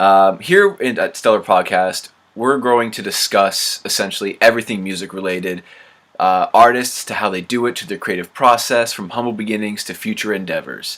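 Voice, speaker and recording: Speaking at a moderate pace with a Canadian accent, a man has an unremarkable speaking voice pitched fairly low, with ordinary pitch variation and big swings in loudness. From Canada. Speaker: podcast host. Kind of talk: casual interview chat.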